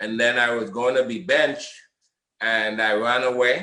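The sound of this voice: Bright and sharp in tone, a man talks at a medium pitch and a fairly slow pace. Room echo is audible around him.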